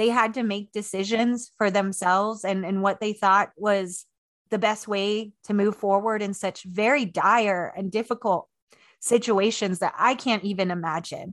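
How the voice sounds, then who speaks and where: An ordinary speaking voice with a General American accent. It moves at a fairly slow pace against a quiet background. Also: woman, medium pitch for a woman. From Maryland, US (Washington DC area), early childhood on Navajo Nation. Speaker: historian and author. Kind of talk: interview conversation.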